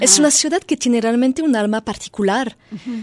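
A woman speaks with a French accent at a moderate pace, with ordinary pitch variation. The recording is very clean with a silent background and a dry, close sound with no echo. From France. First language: French (speaking Spanish). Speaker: musician. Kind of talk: interview. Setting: radio studio. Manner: halting.

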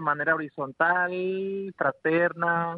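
A man with fairly high pitch at a very slow pace. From rural western Mexico. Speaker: organic farmer and rural educator. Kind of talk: radio interview.

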